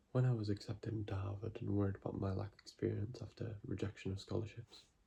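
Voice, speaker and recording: Soft-spoken and with vocal fry, a man has a dark, mellow tone. He talks at a very fast pace in a monotone, flat intonation. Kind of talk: ASMR book reading to help viewers sleep.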